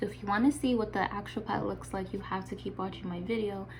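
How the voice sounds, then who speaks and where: A woman's voice comes through with audible room echo and noticeable noise in the background. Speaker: beauty youtuber. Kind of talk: makeup tutorial intro. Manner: fast; animated.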